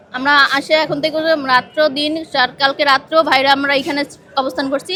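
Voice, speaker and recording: Noticeable background noise surrounds a woman with a high pitch. Her intonation stays fairly even. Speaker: protesting unpaid health worker. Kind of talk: protest speech. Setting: outdoors protest. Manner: impassioned, pleading; earnest, grievance-laden.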